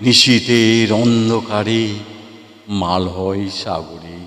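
This man's pitch is fairly low. He has an ordinary speaking voice. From West Bengal, India. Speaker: poet and recitation artist. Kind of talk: poetry reading.

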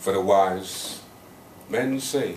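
Male speech with light background noise and audible room echo. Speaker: spoken word poet. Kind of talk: live spoken word poetry performance. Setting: live open mic venue. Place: bar. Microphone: camera far.

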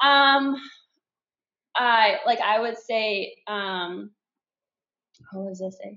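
A woman with fairly high pitch speaks at a very slow pace with long, frequent pauses, big swings in loudness and ordinary pitch variation, with audible room echo over a quiet background. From Canada. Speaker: track and field athlete; podcast guest. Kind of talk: casual chat. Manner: animated. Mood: playful, laughing. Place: home room. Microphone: video call.

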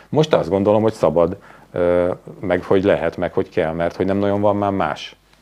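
A man with a fairly low pitch and ordinary pitch variation talks at a fairly quick pace, broken by long, frequent pauses. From Hungary. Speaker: journalist and TV presenter; interview guest. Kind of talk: interview conversation. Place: studio.

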